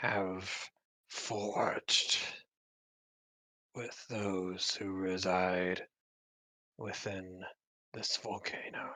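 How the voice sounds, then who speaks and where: A put-on character voice from a man, very deep and low in pitch and raspy, at a very slow pace with long, frequent pauses. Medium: actual play. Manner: archaic, formal.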